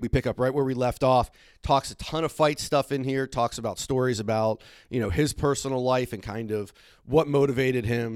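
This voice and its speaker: A man with a normal speaking voice talks at a fairly quick pace, medium in pitch with ordinary pitch variation, the sound dry and close with no echo. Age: 30s. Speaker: hockey history podcast host. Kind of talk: podcast interview and monologue.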